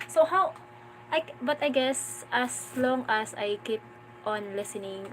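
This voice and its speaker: Over noticeable background noise, a woman in a Filipino accent speaks at a very slow pace, with long, frequent pauses and very wide pitch swings. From Philippines, Mindanao. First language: Filipino regional language. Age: 20s. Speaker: vlogger, stay-at-home mother. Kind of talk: casual live-stream chat. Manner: halting, repeats words.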